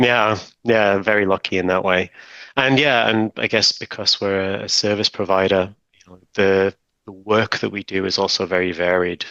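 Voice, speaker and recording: A man with a British accent speaks at a fairly low pitch and moderate pace, with fairly even intonation. His tone is bright and sharp, and the dry, close sound has no echo and a quiet background. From Britain. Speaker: technical documentation manager. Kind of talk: interview conversation. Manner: hesitant, many fillers.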